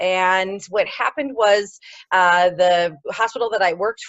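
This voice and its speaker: A woman speaks at a medium pitch with a Midwestern American accent. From US Midwest, Ohio. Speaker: pelvic floor physiotherapist. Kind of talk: interview. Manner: hesitant, many fillers.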